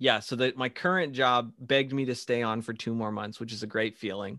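Fairly quick in pace, a normal speaking voice moves with fairly even intonation. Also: man. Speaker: podcast host. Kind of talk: casual interview. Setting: remote call, wearing AirPods.

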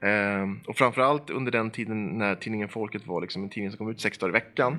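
With music in the background, a man of medium pitch talks at a very fast pace and ordinary pitch variation. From Sweden, Eskilstuna. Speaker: organization manager and opinion writer. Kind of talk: casual chat. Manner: hesitant, many fillers and repeated words.

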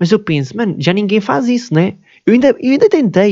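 This man speaks with a European Portuguese accent. His intonation is lively. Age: 20s. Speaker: podcaster. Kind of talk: casual monologue. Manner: halting.

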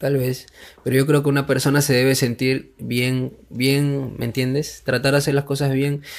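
In a Peruvian accent, a man with a fairly high pitch speaks at a moderate pace, his intonation monotone and flat and his loudness very even. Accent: Peruvian Spanish (Lima). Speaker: rapper. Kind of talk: casual chat.

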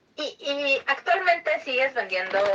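A woman's raised, projected voice, high in pitch. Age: 30s. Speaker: podcast host. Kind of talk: interview.

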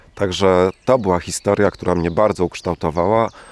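The sound is dry and close with no echo, and the intonation stays fairly even. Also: man. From eastern Poland, Włodawa. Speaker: scientist and local volunteer organizer. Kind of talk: interview with field recording, reflective talk. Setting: outdoors by the river.

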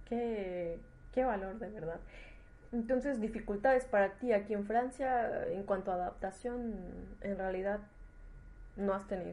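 At a fairly slow pace with long, frequent pauses, a woman speaks at a medium pitch in a dark, mellow tone with ordinary pitch variation. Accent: Mexican. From Mexico. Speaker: podcast host. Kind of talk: casual interview. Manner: halting, repeats words.

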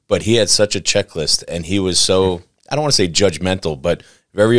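This man has a very deep, low pitch and an American accent. He talks at a fairly quick pace, and the sound is dry and close with no echo. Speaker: podcast host and real estate agent. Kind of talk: casual chat.

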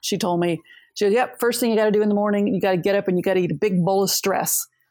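A woman talks with ordinary pitch variation. Her voice sits at a medium pitch. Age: 60s. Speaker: widowed engineer, nonprofit worker. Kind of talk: interview. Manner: hesitant, many fillers.

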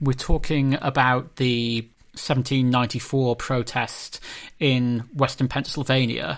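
A man's unremarkable speaking voice at medium pitch, with fairly even intonation, on a very clean recording with a silent background. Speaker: history professor and podcast host. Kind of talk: academic discussion.

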